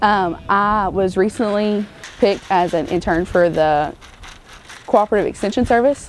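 Speaking with an Arkansas accent, a woman keeps a moderate pace, ordinary pitch variation and very even loudness. The sound is dry with no echo, with light background noise. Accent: Southern US (Arkansas). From US South, Arkansas. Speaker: college student. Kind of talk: interview. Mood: warm, enthusiastic.

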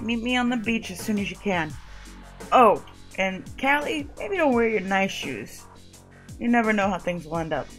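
A woman performs a put-on character voice that is booming and gravelly, at medium pitch. She keeps a moderate pace with long, frequent pauses, and clear music plays in the background. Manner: confident, friendly, laid-back.

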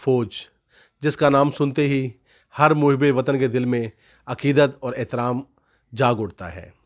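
A man speaks at a fairly slow pace with a fairly high pitch. His pitch variation is ordinary, and the background is quiet. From Pakistan. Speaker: YouTube channel host. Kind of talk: scripted monologue; interview. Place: home room. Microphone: handheld.

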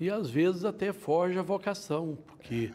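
This man has a dark, mellow tone. His delivery is fairly slow. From Minas Gerais, Brazil (Patos de Minas); Minas Gerais, Brazil. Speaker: judge. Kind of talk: interview. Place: studio. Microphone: lapel.

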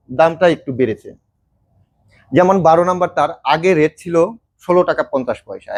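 With a high pitch and ordinary pitch variation, a man speaks in a dry, close recording with no echo. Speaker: farm supplies seller. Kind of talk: product demonstration and sales pitch.

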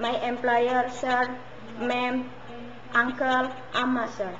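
In an Indonesian accent, a woman speaks at a high pitch and a very slow pace with monotone, flat intonation, with noticeable background noise. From Indonesia, West Java. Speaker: domestic helper job applicant. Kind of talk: job interview. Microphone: webcam.

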